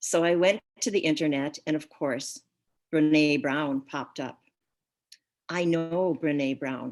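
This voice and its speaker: The woman speaking has a fairly low pitch for a woman. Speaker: guest speaker. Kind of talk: talk. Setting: video call. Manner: soft-spoken.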